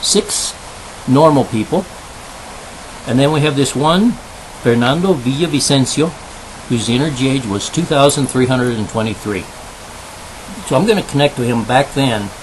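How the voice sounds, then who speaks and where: A fairly high-pitched male voice with ordinary pitch variation, over noticeable background noise. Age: 60s. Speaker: video blogger on spiritual topics. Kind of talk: bilingual monologue with pendulum demonstration. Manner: switches between English and Spanish; counting aloud.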